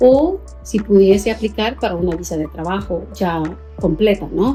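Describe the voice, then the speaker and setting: Someone with a Salvadoran accent speaks at a moderate pace while music plays in the background. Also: woman. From El Salvador. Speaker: teacher. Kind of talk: interview answer.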